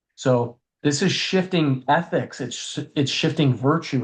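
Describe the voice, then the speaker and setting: A man's somewhat breathy, fairly high-pitched voice with ordinary pitch variation. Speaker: family podcast co-host. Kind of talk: casual educational discussion. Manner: fast.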